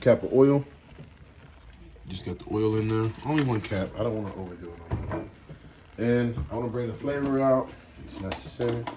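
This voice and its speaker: Over noticeable background noise, a man at a medium pitch talks at a moderate pace, with ordinary pitch variation and big swings in loudness. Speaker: home cook. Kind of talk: cooking tutorial. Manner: casual.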